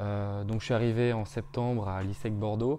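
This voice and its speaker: Over light background noise, the voice carries a dark, mellow tone. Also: man. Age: 20s. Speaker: business school student. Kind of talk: interview testimony. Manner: hesitant, many fillers. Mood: upbeat, friendly. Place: home room. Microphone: lapel.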